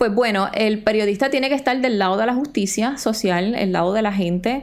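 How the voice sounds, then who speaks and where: Speaking with a Puerto Rican accent, a woman talks at a fairly quick pace in a fairly high voice with lively intonation. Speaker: journalist and podcast co-host. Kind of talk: casual chat.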